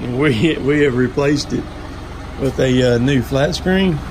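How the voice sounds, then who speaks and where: Noticeable background noise sits behind a man speaking at a fairly slow pace. His intonation stays fairly even. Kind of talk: casual vlog chat. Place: home room. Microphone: phone near.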